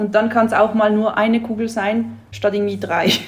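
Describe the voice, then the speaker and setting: At a fairly quick pace, a woman speaks in a flat monotone with a fairly high pitch. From Switzerland. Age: 30s. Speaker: marketing office worker, coaching client. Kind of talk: casual interview chat.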